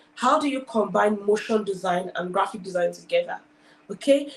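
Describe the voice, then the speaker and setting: A woman's somewhat breathy, animated voice at medium pitch with lively intonation. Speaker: design school founder and speaker. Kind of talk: talk at online career event. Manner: fast.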